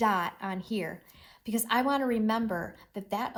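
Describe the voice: Pitch varies in an ordinary way through this plain reading aloud.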